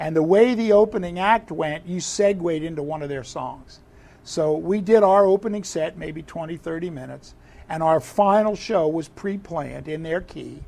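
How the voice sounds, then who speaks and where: Using a high voice with a dark, mellow tone, a man speaks at a moderate pace with ordinary pitch variation and big swings in loudness. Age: 60s. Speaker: drummer and drum teacher. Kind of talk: casual interview chat. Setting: studio. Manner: animated.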